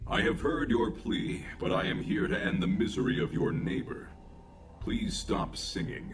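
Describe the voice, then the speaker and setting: Through clear background noise, a man does a put-on character voice at a fairly high pitch and a moderate pace. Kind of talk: synthetic robot speech. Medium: game stream. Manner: calm, precise, literal.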